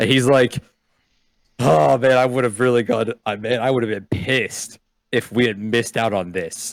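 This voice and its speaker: A man puts on a raspy character voice at medium pitch. He talks at a moderate pace with ordinary pitch variation. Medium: actual play.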